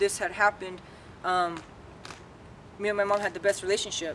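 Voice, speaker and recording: Over noticeable background noise, a woman speaks at a medium pitch. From Southern California (Whittier). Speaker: barber. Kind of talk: personal testimony. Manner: loud; halting, many fillers.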